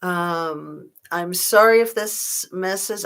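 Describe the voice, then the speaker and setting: A woman with a plain, everyday voice speaks at a medium pitch with fairly even intonation, in a very clean recording over a silent background. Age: 60s. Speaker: true crime YouTuber. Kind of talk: livestream chat reading viewer comments.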